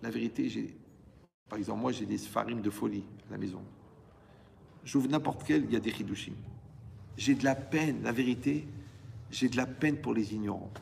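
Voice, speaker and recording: A man at a moderate pace with long, frequent pauses and audible room echo. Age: 60s. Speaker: rabbi teaching Torah. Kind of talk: Torah lecture to a live audience. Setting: hall with audience. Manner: animated, conversational with asides.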